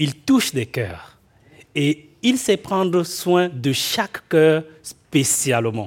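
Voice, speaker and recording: Against a silent background in a very clean recording, a man speaks with lively intonation. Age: 40s. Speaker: guest preacher. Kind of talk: sermon; prayer. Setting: church.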